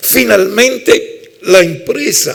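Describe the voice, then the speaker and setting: Speaking in an Italian accent, a man takes a very slow pace. Background noise is noticeable. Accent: Italian-tinged Spanish. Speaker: labour law professor. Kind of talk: lecture.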